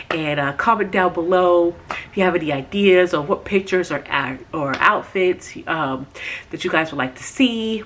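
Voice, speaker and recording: Her pitch fairly low and its variation ordinary, a woman talks at a moderate pace against noticeable background noise. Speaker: lifestyle vlogger. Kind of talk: product review vlog; casual vlog.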